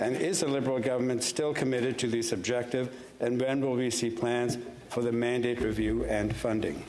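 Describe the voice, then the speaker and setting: A man speaks at a fairly quick pace with medium pitch, fairly even intonation and very even loudness. The room echo is audible, and there is noticeable background noise. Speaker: senator. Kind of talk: parliamentary question period. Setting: senate chamber. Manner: fast.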